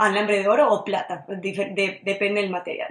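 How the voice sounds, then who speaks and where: An ordinary speaking voice from a woman at a medium pitch and a moderate pace. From Venezuela, Maracaibo (Zulia). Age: 20s. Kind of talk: radio interview.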